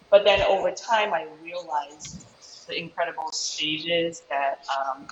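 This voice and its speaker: A woman speaks in a Chicago accent. Her pitch is fairly low. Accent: Chicago American English. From US Midwest, Chicago. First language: Japanese. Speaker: taiko musician. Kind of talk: panel interview.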